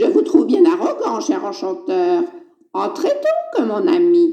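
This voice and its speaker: This is a cartoonish character voice pitched extremely high. It moves at a fairly slow pace. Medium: puppet. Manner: playful, teasing, falsely innocent.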